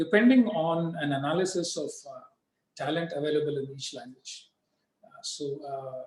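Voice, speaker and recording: This man, with a Tamil accent, has a fairly high pitch and ordinary pitch variation. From southern India, Tamil-speaking. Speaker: diplomat. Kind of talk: interview. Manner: halting, many fillers.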